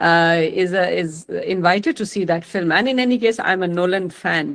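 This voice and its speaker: Over a quiet background, a woman with an Indian accent talks with lively intonation. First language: Maithili. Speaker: retired senior police officer, mentor. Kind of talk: online lecture to students, Hindi-English mix. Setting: video call. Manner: halting, many fillers.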